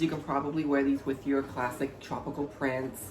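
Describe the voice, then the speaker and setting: Music plays in the background as a man speaks at a moderate pace and a medium pitch. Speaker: vlogger. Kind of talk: casual talk video. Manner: energetic.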